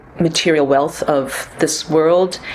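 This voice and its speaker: With noticeable background noise behind her, a woman with an American accent talks in a very deep, low pitch and fairly even intonation. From US, New York and California. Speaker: composer and performer. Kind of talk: interview. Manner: hesitant, many fillers.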